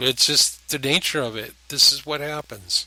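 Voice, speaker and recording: Speaking at a fairly slow pace, a man with a fairly high pitch uses a bright, sharp tone and fairly even intonation. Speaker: antique telephone restorer. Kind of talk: casual narration over a restoration video. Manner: rambling, hesitant with frequent ums.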